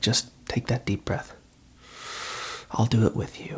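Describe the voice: The voice has a husky, rough edge and fairly even intonation.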